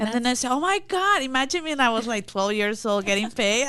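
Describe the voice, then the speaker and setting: Over noticeable background noise, a woman speaks at a high pitch with a Mexican accent. Her pace is fairly quick and her pitch swings very widely. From Mexico. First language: Spanish. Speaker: immigration consultant. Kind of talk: interview.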